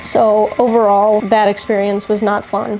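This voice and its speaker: Fairly high-pitched woman's voice, monotone and flat, at a fairly slow pace amid noticeable background noise. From grew up in current country, immigrant family. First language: not English. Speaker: lifestyle vlogger. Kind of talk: casual vlog chat.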